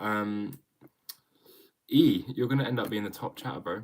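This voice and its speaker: A man speaks with an English accent at a fairly low pitch. His pace is moderate. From England. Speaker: drummer streamer. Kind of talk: casual live stream Q&A. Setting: live stream at home. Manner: casual, hesitant with fillers.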